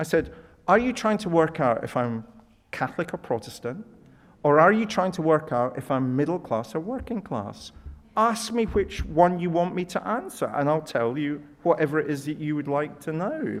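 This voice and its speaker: This man has a Scottish accent and a fairly high pitch. He talks at a moderate pace with very wide pitch swings. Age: 60s. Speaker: professor. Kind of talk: Q&A after lecture.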